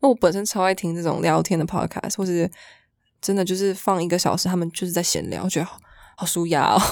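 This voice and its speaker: A woman talks at a very fast pace. Her fairly low voice keeps fairly even intonation. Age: 20s. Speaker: fashion model. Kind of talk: casual chat.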